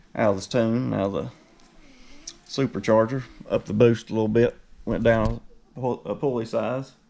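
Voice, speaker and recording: Using fairly even intonation, a man with an Appalachian accent speaks at a medium pitch and moderate pace in a dark, mellow tone, leaving long, frequent pauses. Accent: rural Appalachian (self-described hillbilly). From West Virginia. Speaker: car enthusiast YouTuber. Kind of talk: casual vlog tour. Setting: garage. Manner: casual, profane.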